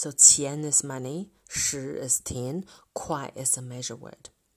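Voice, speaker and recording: Someone speaks with a Chinese accent on a very clean recording with a silent background. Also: woman. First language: Mandarin Chinese. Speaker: Chinese language teacher. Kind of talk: tutorial. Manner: slow, repetitive drilling.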